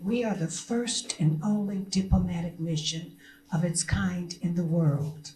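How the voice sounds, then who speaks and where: A woman's somewhat breathy, dark, mellow voice at a fairly low pitch and fairly slow pace, with an American accent and audible room echo. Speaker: diplomat. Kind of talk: press conference speech. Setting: press conference at a consulate. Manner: animated.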